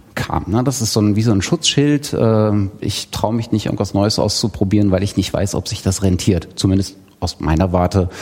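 A man with a fairly low pitch and ordinary pitch variation talks at a moderate pace over noticeable background noise. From Thuringia, eastern Germany. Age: 30s. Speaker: podcaster. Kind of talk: self-introduction at live event. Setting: live room with audience.

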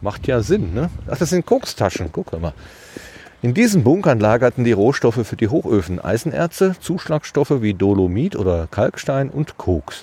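At a moderate pace, a man speaks with very wide pitch swings in a dry, close sound with no echo, with noticeable background noise. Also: medium pitch for a man. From Germany, Ruhr area (Hattingen). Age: 50s. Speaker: podcast host. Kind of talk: casual chat. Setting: outdoors.

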